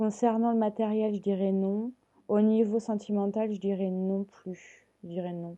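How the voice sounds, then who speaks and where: Her dark, mellow voice sits at medium pitch, moving at a very slow pace with monotone, flat intonation. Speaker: tarot card reader. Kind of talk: tarot reading to viewers. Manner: hesitant, many fillers.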